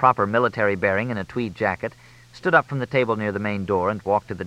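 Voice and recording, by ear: The speaker is reading aloud in a natural voice. The words are read out rather than spoken freely.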